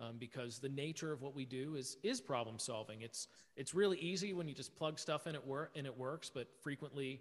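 A man with an American accent speaks in a normal speaking voice at medium pitch. His pace is moderate and his pitch varies in an ordinary way. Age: 30s. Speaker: event production company owner. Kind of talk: interview.

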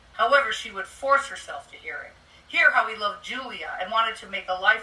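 The reading comes in an unforced voice.

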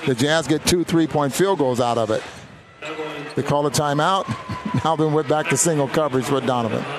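Over noticeable background noise, a man with a fairly high pitch speaks at a fairly quick pace, with ordinary pitch variation and very even loudness. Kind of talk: basketball color commentary, analyzing play. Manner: conversational, analytical.

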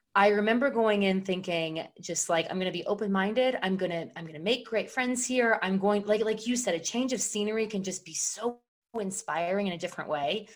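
A woman's ordinary speaking voice at a moderate pace, with ordinary pitch variation. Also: medium pitch for a woman. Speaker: guest, veteran turned professional. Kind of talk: casual interview clip.

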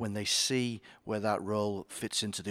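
On a very clean recording with a silent background, a man with a Yorkshire accent speaks at a fairly low pitch in a monotone, flat intonation. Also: dry, close sound with no echo. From Yorkshire, northern England. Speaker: company chief executive. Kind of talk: interview.

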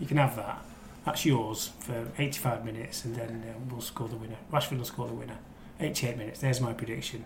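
Fairly quick delivery with fairly even intonation, big swings in loudness and noticeable background noise. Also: man, medium pitch for a man. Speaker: newspaper crime reporter. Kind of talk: casual football banter. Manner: laughs often, relaxed.

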